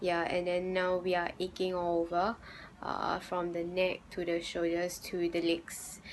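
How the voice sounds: A woman talks at a fairly slow pace. Her fairly low voice is monotone, with flat intonation.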